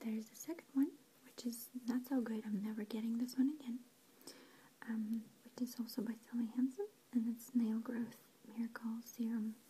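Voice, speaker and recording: The speaker is soft-spoken and keeps a moderate pace. Long pauses come often. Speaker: reviewer. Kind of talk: casual ASMR-style product review. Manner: soft-spoken, quiet ASMR voice. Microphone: phone near.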